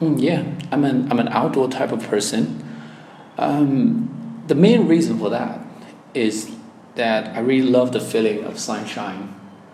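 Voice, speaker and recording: Amid noticeable background noise, a man with a Chinese accent speaks at a fairly slow pace and medium pitch, with very wide pitch swings. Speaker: language exam candidate. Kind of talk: oral exam interview. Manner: hesitant, with fillers.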